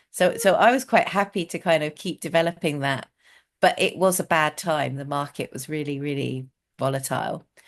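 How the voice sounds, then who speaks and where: With a British accent, a woman speaks at a moderate pace in a very deep, low pitch. Her pitch varies in an ordinary way, her loudness swings widely, and the background is quiet. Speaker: communication trainer and outdoors coach. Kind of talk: casual interview.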